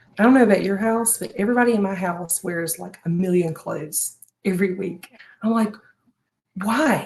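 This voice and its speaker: A woman's somewhat breathy, medium-pitched voice at a moderate pace, with ordinary pitch variation and big swings in loudness. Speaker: home organization and planner creator. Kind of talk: live stream advice chat.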